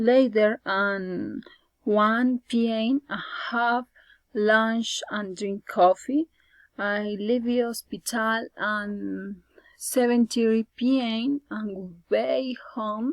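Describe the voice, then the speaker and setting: Speaking at a very slow pace with a Spanish accent, a woman with a fairly high pitch keeps her intonation fairly even, recorded with a dry, close sound and no echo. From Colombia. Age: 20s. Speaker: student. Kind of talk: class presentation, prepared speech.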